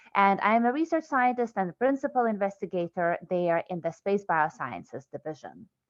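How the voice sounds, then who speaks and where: At a moderate pace, a woman speaks with a Lithuanian accent. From Lithuania, Vilnius. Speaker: research scientist. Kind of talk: scientific lecture.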